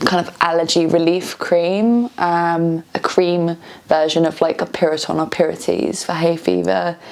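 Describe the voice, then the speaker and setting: Fairly low-pitched woman's voice in a British accent, fairly slow and with fairly even intonation, over noticeable background noise. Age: 30s. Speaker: vlogger. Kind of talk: personal vlog testimony. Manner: halting, many fillers.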